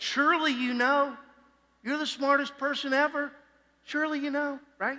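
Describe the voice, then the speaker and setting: At a moderate pace, someone uses a put-on character voice with a high pitch. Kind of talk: dry, exaggerated emphasis. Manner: sarcastic, mocking.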